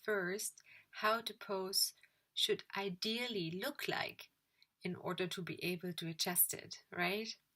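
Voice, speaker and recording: A woman with a non-native accent speaks at a very slow pace, her pitch medium with ordinary variation. Her tone is bright and sharp. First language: not English. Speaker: yoga teacher trainee and vlogger. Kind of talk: video diary. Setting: at home in her room.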